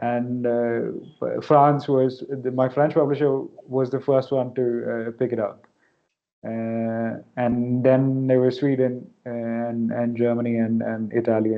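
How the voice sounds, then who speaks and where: A man speaks in a Keralan accent at a very slow pace. His intonation is monotone and flat. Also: medium pitch for a man. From India, Kerala. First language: Malayalam. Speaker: novelist. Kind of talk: Q&A interview at academic event.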